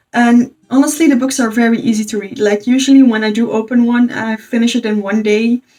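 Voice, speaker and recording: A woman speaks with a Dutch accent and a dark, mellow tone. Her intonation is fairly even. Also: fairly quick pace, hardly any pauses. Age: 20s. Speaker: book youtuber. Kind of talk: casual review monologue.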